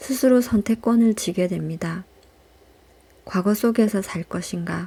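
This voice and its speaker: Her fairly high pitch paired with a dark, mellow, somewhat breathy tone, a woman speaks at a fairly slow pace with ordinary pitch variation and long, frequent pauses. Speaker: audiobook reader. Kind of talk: audiobook reading, calm and intimate (ASMR style). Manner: soft-spoken, slow.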